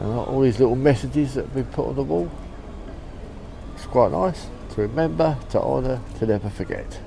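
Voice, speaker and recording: There are long, frequent pauses and big swings in loudness as a man speaks, with noticeable background noise and audible room echo. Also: fairly quick pace. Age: 60s. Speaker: travel vlogger and postcard collector. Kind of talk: casual vlog commentary. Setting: outdoors on a seaside pier among crowds.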